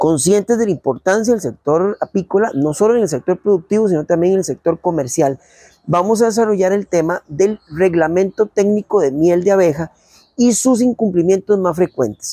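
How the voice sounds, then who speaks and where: A man's high-pitched voice with a dark, mellow tone, very even loudness, ordinary pitch variation, and a dry, echo-free sound against a quiet background. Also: moderate pace. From Costa Rica. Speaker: agricultural radio program host. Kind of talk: radio program presenting. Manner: formal. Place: garden. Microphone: lapel.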